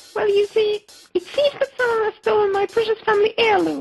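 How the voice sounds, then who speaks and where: Putting on a squeaky character voice, a woman talks at a fairly quick pace in an extremely high pitch with very even loudness and a dry, close sound with no echo. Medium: machinima. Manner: polite, giggly.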